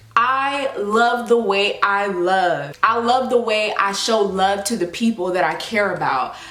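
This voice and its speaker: In an animated, passionate tone, a woman speaks at a fairly slow pace with ordinary pitch variation, with audible room echo and noticeable background noise. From US South. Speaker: YouTuber, lifestyle vlogger. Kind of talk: casual vlog talk to camera.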